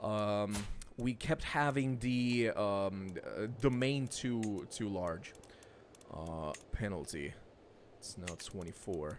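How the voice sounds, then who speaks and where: The man talks at a fairly low pitch with a non-native accent. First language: not English. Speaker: gaming streamer. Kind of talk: let's play commentary. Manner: casual, hesitant with fillers.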